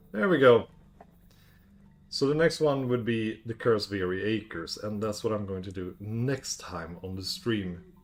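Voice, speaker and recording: With music in the background, a man with a fairly low voice speaks at a fairly slow pace, showing ordinary pitch variation and big swings in loudness. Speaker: video game streamer. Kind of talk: gaming livestream. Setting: live stream.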